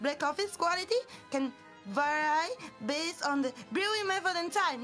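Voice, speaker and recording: A woman's raised, projected voice in a strong Italian accent, extremely high in pitch with very wide pitch swings, at a moderate pace over background music. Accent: heavy Italian. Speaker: virtual streamer. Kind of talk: casual stream talk.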